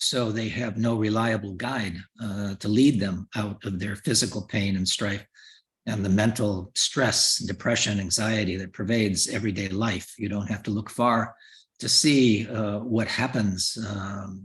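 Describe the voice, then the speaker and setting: A man speaks at a fairly slow pace in a fairly low, somewhat breathy voice. His intonation stays fairly even. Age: 70s. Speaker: Buddhist lama and teacher. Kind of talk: dharma teaching. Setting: video call. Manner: hesitant with fillers.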